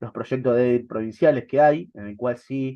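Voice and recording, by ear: The man's pitch sits at a medium level and varies an ordinary amount. He keeps a moderate pace.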